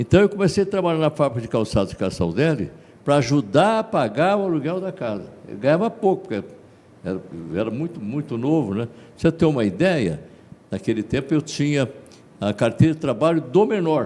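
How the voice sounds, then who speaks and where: A fairly fast-talking man with a fairly high pitch and very wide pitch swings. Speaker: radio broadcaster and singer. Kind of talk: interview.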